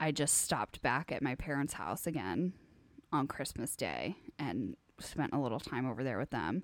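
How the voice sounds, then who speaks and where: A woman speaks with vocal fry. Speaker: podcast co-host. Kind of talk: casual chat.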